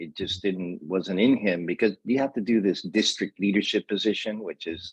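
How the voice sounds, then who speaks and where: A man speaks in an unremarkable speaking voice at a fairly low pitch, with fairly even intonation and a moderate pace. The sound is dry and close with no echo, and the background is quiet. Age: 60s. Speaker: mentor and safety trainer. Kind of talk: interview.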